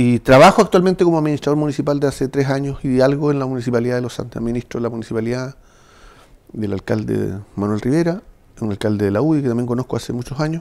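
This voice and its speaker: A man talks at a very fast pace with ordinary pitch variation. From southern Chile, Chiloé (Ancud); southern Chile. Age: 60s. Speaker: municipal administrator and former official; interview guest. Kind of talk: political interview. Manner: halting, repeating words. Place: studio.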